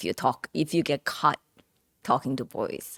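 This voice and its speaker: A woman with a Korean accent, dry and close with no echo, in a very clean recording with a silent background. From South Korea. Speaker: entrepreneur. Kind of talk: interview.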